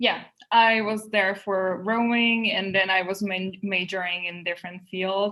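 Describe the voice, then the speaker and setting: Speaking at a fairly slow pace in a Czech accent, a woman has a bright, sharp tone and monotone, flat intonation. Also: medium pitch for a woman. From Czech Republic, Prague. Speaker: English teacher trainee, graduate student. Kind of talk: interview.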